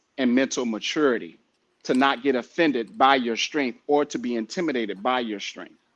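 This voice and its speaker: Moderate-paced male speech with a quiet background. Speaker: podcast host. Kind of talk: casual chat. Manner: animated.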